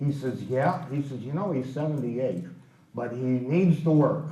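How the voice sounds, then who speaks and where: Amid noticeable background noise and audible room echo, a man with an American accent and a fairly high pitch speaks with ordinary pitch variation. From US Midwest, Chicago south side. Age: 80s+. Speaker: baseball raconteur. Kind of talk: storytelling talk.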